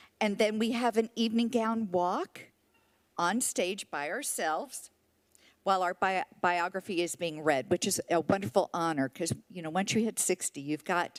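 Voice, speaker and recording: A woman's ordinary speaking voice at a medium pitch, with lively intonation and a moderate pace, in a dry, close recording with no echo. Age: 60s. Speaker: senior pageant titleholder. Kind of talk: public comment speech. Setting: city council meeting.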